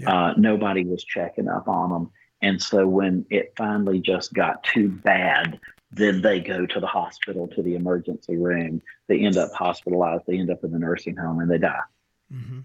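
Speaking at a moderate pace, the man has a very deep, low pitch and fairly even intonation. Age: 60s. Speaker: physician practice owner and co-host. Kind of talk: casual chat.

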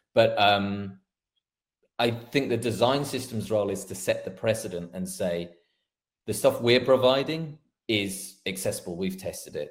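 This man's voice sits at a medium pitch and is somewhat breathy, moving at a moderate pace with ordinary pitch variation and big swings in loudness. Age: 40s. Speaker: front end developer. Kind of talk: casual chat.

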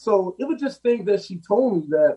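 At a moderate pace, this voice has a dark, mellow tone and ordinary pitch variation. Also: man. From Los Angeles, South LA. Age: 50s. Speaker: plumbing business owner. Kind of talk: interview.

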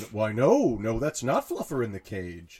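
A man puts on a character voice, talking at a fairly slow pace with medium pitch. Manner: imitation.

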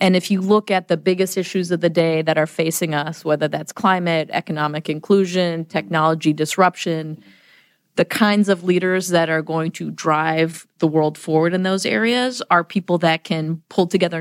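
With an American accent, a woman in an unremarkable speaking voice talks at a moderate pace and a fairly low pitch with fairly even intonation, the sound dry and close with no echo on a very clean recording with a silent background. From US Midwest, Chicago area. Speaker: business school dean. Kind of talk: podcast interview.

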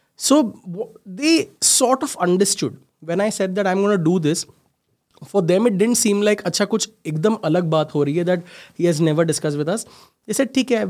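Male speech in a very clean recording, the background silent. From India, Mumbai. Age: 30s. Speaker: startup founder and CEO. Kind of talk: interview.

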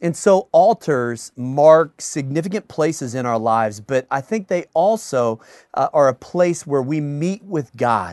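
A man's normal speaking voice, fairly high in pitch, with lively intonation at a fairly slow pace and a dry, close sound with no echo. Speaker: pastor. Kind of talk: sermon introduction. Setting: office.

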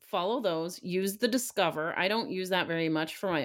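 With a plain, everyday voice, a woman talks at a moderate pace with lively intonation on a very clean recording with a silent background. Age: 30s. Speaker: e-commerce podcast co-host. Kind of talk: casual business chat.

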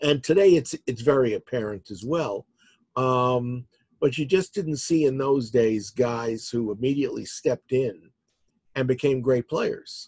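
The voice is somewhat breathy, moving at a fairly slow pace with ordinary pitch variation. The sound is dry and close with no echo. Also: man, medium pitch for a man. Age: 60s. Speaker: author. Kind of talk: casual chat.

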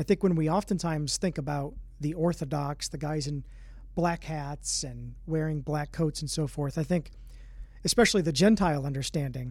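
Over a very clean recording with a silent background, a man with a normal speaking voice talks at a moderate pace and fairly high pitch, using fairly even intonation. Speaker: podcast host and ministry director. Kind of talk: interview conversation.

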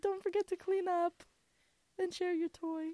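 Putting on a character voice, a woman speaks at a moderate pace with extremely high pitch and monotone, flat intonation. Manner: gentle, sweetly instructing.

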